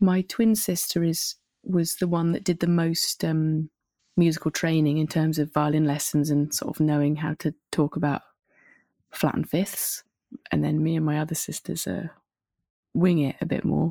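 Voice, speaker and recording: With a southern English accent, a woman speaks at a very deep, low pitch and a moderate pace, her intonation fairly even, in a dry, close recording with no echo that is very clean, with a silent background. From southern England (Winchester). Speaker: singer-songwriter. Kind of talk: casual interview.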